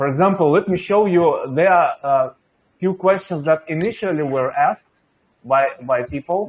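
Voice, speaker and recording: A man with a Russian accent speaks fairly slowly at a high pitch with lively intonation. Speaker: venture investor and channel host. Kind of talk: interview.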